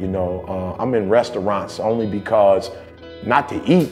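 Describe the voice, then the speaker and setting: A man with a fairly low voice speaks in a fairly even tone while faint music plays in the background. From Detroit, USA. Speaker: motivational speaker. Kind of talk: personal story told in a documentary interview. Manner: casual, reflective. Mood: reflective, earnest storytelling. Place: studio. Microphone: lapel.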